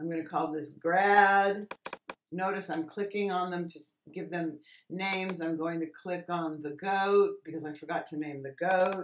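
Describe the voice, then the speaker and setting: Fairly slow in pace, a woman uses a normal speaking voice with fairly low pitch. Her intonation stays fairly even, though her loudness swings widely. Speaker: Photoshop teacher. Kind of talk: tutorial. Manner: casual, conversational.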